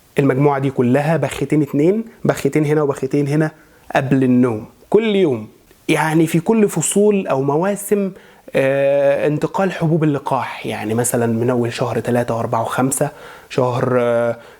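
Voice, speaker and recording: Here a man talks at a moderate pace. His fairly high pitch moves with lively intonation. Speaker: voice and maqam coach; religious chanter. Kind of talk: instructional talk to camera.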